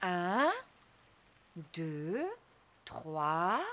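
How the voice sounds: A woman's cartoonish character voice, fairly low in pitch with a fairly bright tone and lively intonation, delivered at a very slow pace, dry and close with no echo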